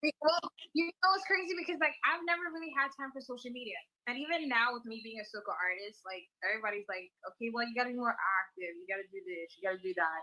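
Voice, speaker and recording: A woman with an American accent talks at a very fast pace in a high pitch. Her voice has very wide pitch swings and big swings in loudness. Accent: American-sounding. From US Virgin Islands. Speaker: calypso and soca singer. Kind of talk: interview.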